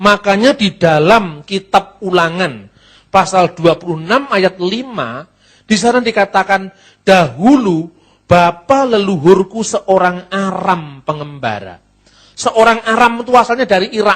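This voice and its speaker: Speaking in a Javanese accent, this voice moves at a fairly slow pace with lively intonation. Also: man, high pitch for a man. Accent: Javanese-accented Indonesian. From Java, Indonesia. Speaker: Bible teacher. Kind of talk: lecture.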